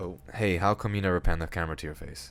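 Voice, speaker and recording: On a very clean recording with a silent background, a man talks with lively intonation. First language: Spanish. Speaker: comedy YouTuber. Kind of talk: comedic scripted monologue. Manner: casual, joking.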